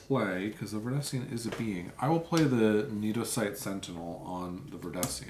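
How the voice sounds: Lively intonation colors a natural reading voice.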